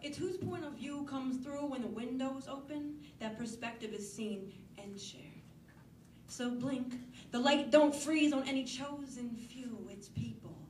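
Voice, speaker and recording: Over noticeable background noise, a woman with an American accent speaks at a fairly slow pace in a high pitch, with ordinary pitch variation and big swings in loudness. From Northeastern US. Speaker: slam poet. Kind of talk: slam poetry performance.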